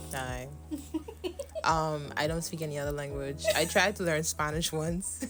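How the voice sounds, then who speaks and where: A woman speaks with a Bahamian accent at a fairly slow pace. She leaves long, frequent pauses. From Bahamas. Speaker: YouTuber co-host. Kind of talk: casual chat.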